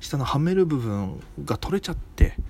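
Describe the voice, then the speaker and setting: A man speaks at a moderate pace with a slight Okinawan accent. His tone is dark and mellow and somewhat breathy. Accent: slight Okinawan intonation. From Okinawa, Japan. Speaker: comedian. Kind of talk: solo casual monologue.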